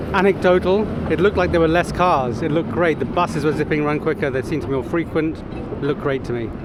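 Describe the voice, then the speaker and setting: A man with a fairly high pitch speaks very fast over noticeable background noise. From London, England. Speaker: volunteer activist. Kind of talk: street interview.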